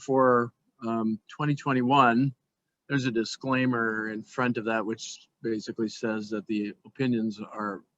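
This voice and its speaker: A man with an American accent and a plain, everyday voice, fairly even intonation, and a dry, close sound with no echo. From Minnesota, US Midwest. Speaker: economist. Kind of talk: webinar presentation. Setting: online webinar.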